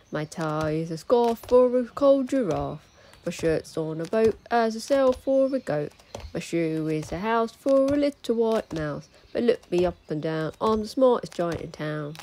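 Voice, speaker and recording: In a put-on character voice, a woman speaks sing-song at a moderate pace and fairly high pitch, in a sad, cheerful tone. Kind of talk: children's picture-book read-aloud. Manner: sad, then proud and cheerful sing-song.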